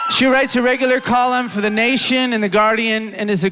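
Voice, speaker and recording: With crowd noise in the background, this man's speech moves at a moderate pace. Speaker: event host. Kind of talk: stage introduction.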